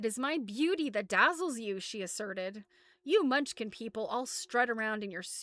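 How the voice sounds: The voice is a natural reading voice. Its intonation rises and falls in a lively way.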